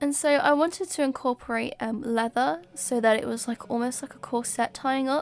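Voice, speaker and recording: In a British accent, a woman with a high-pitched voice speaks at a fairly slow pace with ordinary pitch variation. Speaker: cosplay maker. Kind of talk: tutorial narration. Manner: casual, hesitant with fillers.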